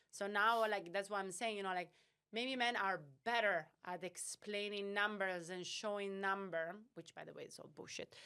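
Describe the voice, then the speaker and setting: A woman with a non-native accent speaks at a medium pitch and moderate pace, her intonation fairly even. Her tone is bright and sharp, with big swings in loudness. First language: not English. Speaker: startup founder and CEO. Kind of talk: podcast interview. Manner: halting, many fillers.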